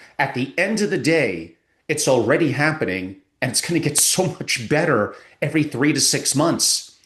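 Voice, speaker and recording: This man's voice is fairly high in pitch and carries vocal fry. His intonation is lively. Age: 60s. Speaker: family office advisor. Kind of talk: interview.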